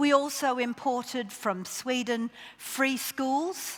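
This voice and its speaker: A woman's high voice with an Australian accent. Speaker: education official. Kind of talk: conference keynote talk.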